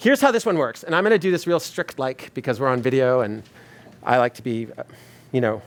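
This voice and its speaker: Speaking at a very fast pace, a man uses a medium pitch, lively intonation and an animated tone. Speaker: experience designer, speaker. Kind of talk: talk to a live audience. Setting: stage with audience.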